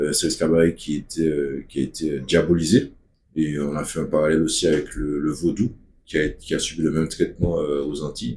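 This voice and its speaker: A man speaks with a Martinican accent. His very deep, low voice has a dark, mellow tone. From Martinique. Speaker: activist speaker. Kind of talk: video talk.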